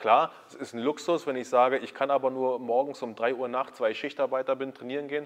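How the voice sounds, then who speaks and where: With hardly any pauses, a man speaks at a fairly quick pace in a flat monotone. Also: medium pitch for a man. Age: 30s. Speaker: YouTube host, fitness content creator. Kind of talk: casual interview. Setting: backstage at a sports school.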